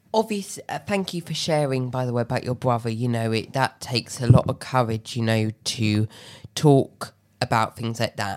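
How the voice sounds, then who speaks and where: With a southern English accent, a woman speaks at a moderate pace in a very deep, low pitch with ordinary variation. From Tunbridge Wells, Kent, England. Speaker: podcast host. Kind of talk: interview.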